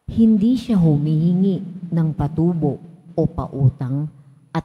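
Very slowly, a woman speaks with a dark, mellow tone, a somewhat breathy quality and lively intonation. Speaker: lay lector. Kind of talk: scripture reading aloud. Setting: church.

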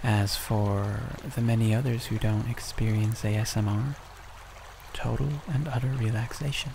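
A man's fairly low voice, fairly slow and fairly even in intonation, over noticeable background noise. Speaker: ASMR creator. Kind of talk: soft-spoken announcement. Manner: soft-spoken.

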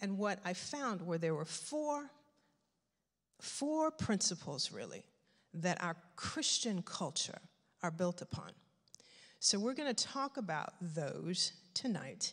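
A woman speaks at a very slow pace, with long, frequent pauses. The background is quiet. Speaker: guest. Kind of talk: sermon. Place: church. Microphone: handheld.

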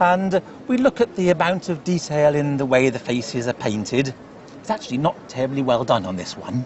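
Over noticeable background noise, a man talks at a fairly quick pace. His pitch is fairly high and his intonation lively. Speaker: antiques specialist. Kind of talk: casual chat.

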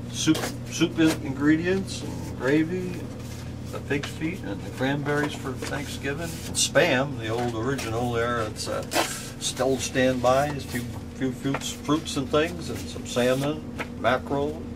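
Noticeable background noise fills the recording. Over it, a man talks at a fairly slow pace. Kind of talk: informal tour commentary. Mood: wry, joking. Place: shop.

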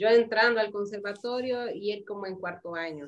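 A woman's voice with ordinary pitch variation. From Honduras, Tegucigalpa; Honduras. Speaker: flutist and music teacher; interview guest. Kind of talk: casual interview. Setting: video call. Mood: warm, reminiscing. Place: home room.

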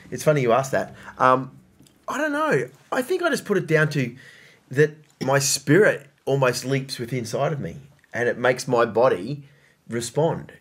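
A man with an Australian accent talks at a moderate pace and fairly high pitch, with ordinary pitch variation and a somewhat breathy sound. He takes long, frequent pauses. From Queensland, Australia (Brisbane); Queensland. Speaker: podcast host. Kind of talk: casual chat. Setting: studio. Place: home room.

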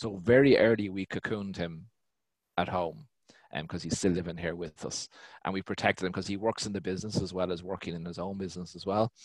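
Over a quiet background with a dry sound and no echo, a man speaks very fast at a very deep, low pitch with fairly even intonation. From Ireland. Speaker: business owner; guest. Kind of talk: panel discussion. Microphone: headset.

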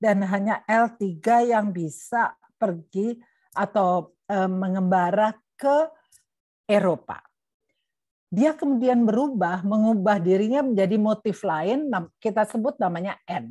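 Long, frequent pauses break up a woman's very slow speech. Her tone is dark and mellow, her pitch varies in an ordinary way, and the background is quiet. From East Java, Indonesia. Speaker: genetics professor, guest lecturer. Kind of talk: lecture. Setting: video call. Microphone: webcam.

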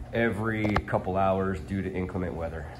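Over light background noise, a man with a very deep, low pitch and vocal fry talks at a moderate pace with lively intonation. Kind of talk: casual vlog chat. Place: home room. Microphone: phone near.

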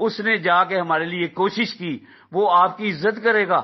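The speaker has an animated tone. Pitch variation is ordinary. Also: man. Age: 60s. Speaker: aggrieved investor, vlogger. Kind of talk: impassioned appeal to fellow investors. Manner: animated, exhortative.

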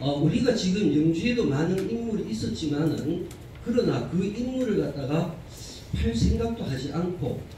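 A man with a Gyeongsang accent and high pitch, lively intonation and a fairly slow pace, over noticeable background noise. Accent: Gyeongsang Korean. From Korea, Gyeongbuk region. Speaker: arts association vice president. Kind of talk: forum presentation. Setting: conference hall with audience.

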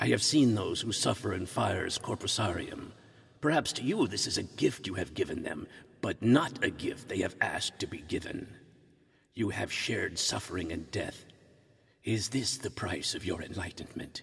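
A man speaks at a moderate pace in a put-on character voice with a medium pitch. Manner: earnest, pleading, formal.

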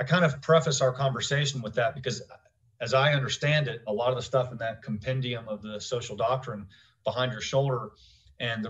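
Somewhat breathy and fairly quick, a man speaks with ordinary pitch variation against a quiet background. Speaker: podcast host. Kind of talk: interview question and commentary. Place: home room. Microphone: studio mic.

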